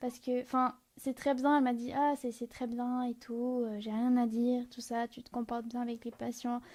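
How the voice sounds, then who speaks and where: A woman's high-pitched voice with a dark, mellow tone, monotone, flat intonation and a moderate pace. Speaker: nursing student. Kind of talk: casual chat. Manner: shy, reserved.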